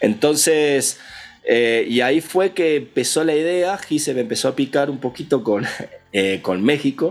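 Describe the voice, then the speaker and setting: Music plays in the background as the speaker goes at a fairly slow pace with lively intonation. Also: man, fairly high pitch for a man. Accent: Argentine. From Argentina, Patagonia (Villa Regina). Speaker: audio engineer and music producer. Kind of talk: casual interview.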